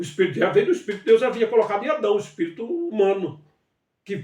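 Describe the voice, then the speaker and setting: This is a man speaking. His pitch is high. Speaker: bible teacher. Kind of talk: livestream bible study. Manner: halting.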